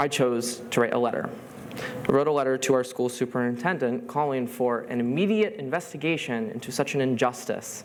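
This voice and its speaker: A man with an American accent speaks at a moderate pace and medium pitch, with ordinary pitch variation and noticeable background noise. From US, Rochester NY. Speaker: student speaker. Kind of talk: talk to an audience.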